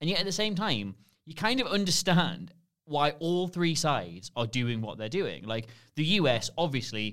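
Here a man speaks with a Geordie accent. His pitch swings very widely. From Newcastle, northern England. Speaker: podcast guest, former film website colleague. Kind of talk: casual chat.

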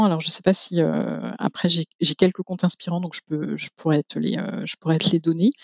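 Recorded with a dry, close sound and no echo, a woman speaks at a moderate pace. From rural France. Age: 40s. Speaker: zero-waste practitioner. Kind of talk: interview testimony. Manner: halting.

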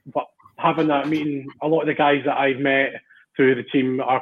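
A man with a Scottish accent, fairly high in pitch, monotone and flat in intonation, at a moderate pace. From Central Scotland. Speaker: amateur rugby player. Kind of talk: casual chat. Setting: video call.

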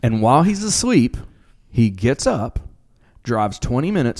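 A man talks in an unremarkable speaking voice at a medium pitch. His intonation is lively. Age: 40s. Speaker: podcast co-host. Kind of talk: casual chat.

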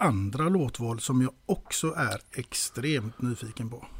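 Somewhat breathy, a man speaks very slowly with lively intonation. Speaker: podcast interviewer. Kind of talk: casual interview chat.

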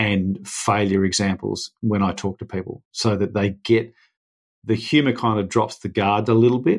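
Delivered at a moderate pace, a plain, everyday voice keeps a fairly even intonation. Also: man. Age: 40s. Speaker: adventurer and speaker. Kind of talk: casual chat. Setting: remote call across time zones.

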